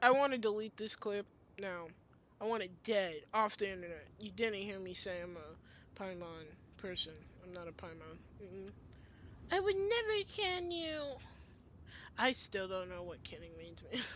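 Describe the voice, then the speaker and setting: A woman speaks at a moderate pace with long, frequent pauses. Her loudness swings widely. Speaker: video game streamer. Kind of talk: live gameplay commentary. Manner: animated.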